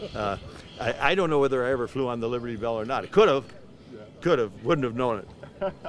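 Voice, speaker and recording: A medium-pitched male voice at a very fast pace, with ordinary pitch variation and noticeable background noise. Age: 80s+. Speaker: war veteran. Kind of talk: interview. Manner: halting.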